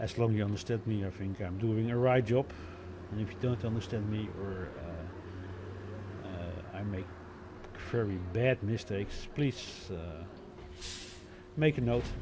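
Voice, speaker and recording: With long, frequent pauses, a man speaks at a fairly slow pace and fairly low pitch with ordinary pitch variation. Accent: Dutch. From Netherlands. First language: Dutch. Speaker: bus simulator gameplay commentator. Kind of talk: live gameplay commentary. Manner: halting, many fillers.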